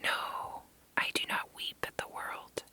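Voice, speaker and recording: Noticeable background noise sits behind a whispered voice. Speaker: ASMR reader. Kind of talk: essay reading.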